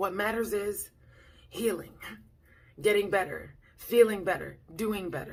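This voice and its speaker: A woman's medium-pitched voice with vocal fry, fairly slow with long, frequent pauses and ordinary pitch variation, in audible room echo. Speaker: vlogger. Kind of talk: casual vlog talk.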